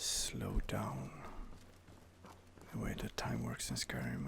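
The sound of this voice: A man whispers at a fairly slow pace, with vocal fry.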